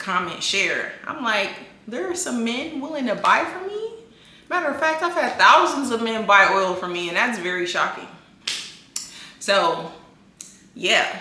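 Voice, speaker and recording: Fairly slow speech with very wide pitch swings and long, frequent pauses, amid audible room echo and noticeable background noise. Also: woman, high pitch for a woman. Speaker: social media influencer and skincare business owner. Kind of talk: casual vlog talk to camera.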